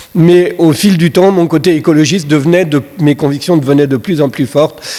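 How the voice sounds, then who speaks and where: Keeping his loudness very even, a man speaks at a moderate pace in a fairly high pitch with ordinary pitch variation. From Brittany, southern Morbihan (France). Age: 60s. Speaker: senator, guest speaker. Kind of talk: conference talk. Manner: hesitant, many fillers and repetitions.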